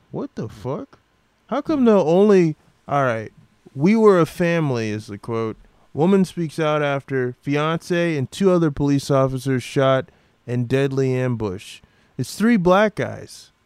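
An unremarkable speaking voice with an American accent moves at a fairly slow pace with lively intonation, the sound dry and close with no echo. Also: man, fairly high pitch for a man. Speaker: podcast host. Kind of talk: casual comedic rant. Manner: irreverent, joking.

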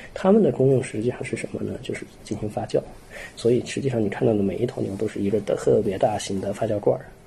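Noticeable background noise sits behind the speech. The man goes at a very fast pace. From Xining, Qinghai, China. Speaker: soil science doctoral student. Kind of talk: casual interview.

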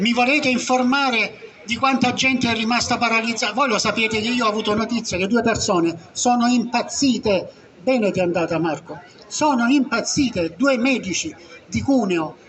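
A man talks at a moderate pace in an extremely high pitch, his tone animated. Noticeable background noise runs behind him. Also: ordinary pitch variation, very even loudness. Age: 70s. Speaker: retired doctor. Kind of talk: public talk at a meeting. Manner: halting.

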